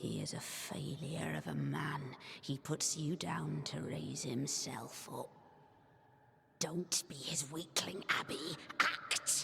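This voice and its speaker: A put-on character voice whispers at a very slow pace. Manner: spooky.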